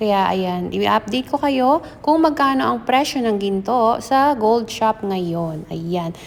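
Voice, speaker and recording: Against noticeable background noise, a woman with a fairly high pitch and lively intonation speaks at a very slow pace with hardly any pauses. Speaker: vlogger. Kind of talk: casual vlog narration. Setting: in a car then gold shop.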